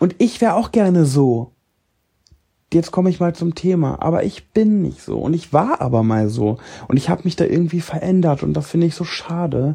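Moving at a moderate pace, a man's dark, mellow tone sits at a fairly high pitch with ordinary pitch variation. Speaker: podcaster and social media creator. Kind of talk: casual monologue. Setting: lying in bed at home. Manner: spontaneous, unscripted.

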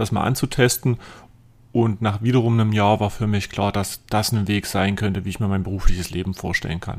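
A man with an unremarkable speaking voice talks at a fairly quick pace, his fairly low pitch moving with ordinary variation. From southern Saxony-Anhalt, near Eisleben. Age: 20s. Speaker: financial adviser and podcast host. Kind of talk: casual chat.

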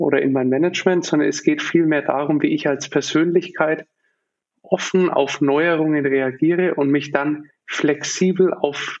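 This man has an ordinary speaking voice. He talks at a fairly slow pace with fairly even intonation. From Germany, Nuremberg. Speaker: business founder and consultant. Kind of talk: podcast interview.

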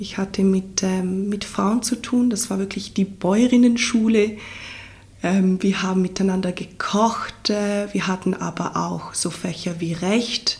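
A woman at medium pitch speaks at a very slow pace, somewhat breathy, with fairly even intonation. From Ticino, southern Switzerland. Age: 30s. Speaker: farmer and doula. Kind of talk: interview. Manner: hesitant, repeats words.

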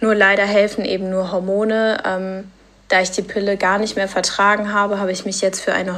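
A woman talks at a medium pitch in a flat, monotone delivery. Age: 20s. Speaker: patient sharing her story. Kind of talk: testimony.

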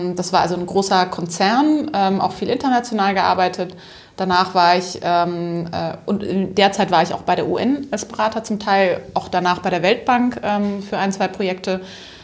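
It is an ordinary speaking voice. A woman talks at a moderate pace with a medium pitch and ordinary pitch variation. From Upper Franconia, northern Bavaria. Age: 30s. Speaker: social entrepreneur, company co-founder. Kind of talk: interview.

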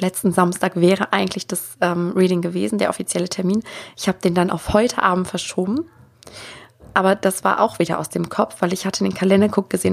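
At a fairly quick pace, a woman speaks at medium pitch with vocal fry. Her intonation stays fairly even. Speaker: spiritual coach and podcast host. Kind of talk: solo podcast monologue. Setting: home office with microphone. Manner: unscripted, free talk.

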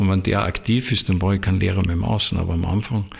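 A man with an ordinary speaking voice talks in a fairly low pitch with ordinary pitch variation. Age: 60s. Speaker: spiritual teacher. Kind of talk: interview. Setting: in his own premises.

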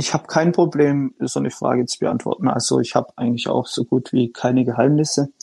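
A man with a medium-pitched, dark and mellow voice talks at a fairly quick pace with vocal fry and ordinary pitch variation, the sound dry and close with no echo. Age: 20s. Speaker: fitness influencer and engineer. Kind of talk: interview.

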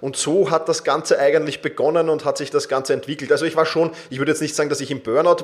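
A man is talking here. His pace is very fast. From Austria, Vienna. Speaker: self-management coach. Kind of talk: interview.

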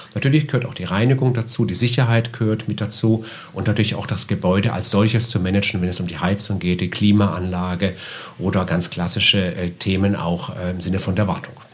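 A man rattles off his words very quickly while noticeable noise hums in the background. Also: fairly low pitch for a man, ordinary pitch variation. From southwest Germany, Karlsruhe. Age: 50s. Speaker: shopping center manager. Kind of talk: interview.

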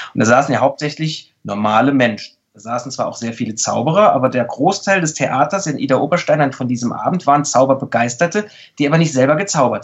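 A man's fairly high-pitched voice at a very fast pace, with lively intonation and big swings in loudness. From Saarland, Germany. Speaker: mentalist and body language expert. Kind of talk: casual interview.

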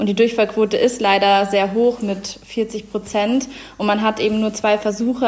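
Over noticeable background noise, a woman talks at a moderate pace in a fairly high pitch with monotone, flat intonation. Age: 20s. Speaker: law graduate. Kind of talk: interview.

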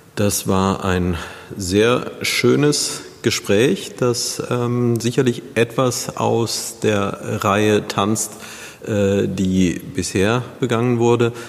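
A man's medium-pitched voice at a very slow pace, with very even loudness, ordinary pitch variation, and noticeable background noise. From Neuwied, Rhineland, Germany. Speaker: podcast host. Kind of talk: interview.

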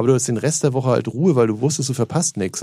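In a dark, mellow tone, a man talks at a very fast pace. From northern Germany, Hamburg area. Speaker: radio DJ. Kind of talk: casual chat.

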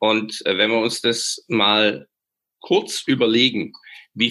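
A man's bright, sharp tone at a very slow pace. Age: 50s. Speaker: leadership expert. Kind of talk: interview. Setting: video call.

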